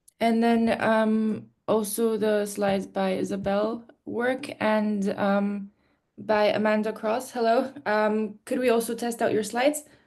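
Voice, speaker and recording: Speaking fairly slowly with a Polish accent, a woman keeps a fairly high pitch, monotone, flat intonation, and very even loudness against a quiet background. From Poland. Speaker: session moderator. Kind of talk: casual chat. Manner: hesitant, many fillers.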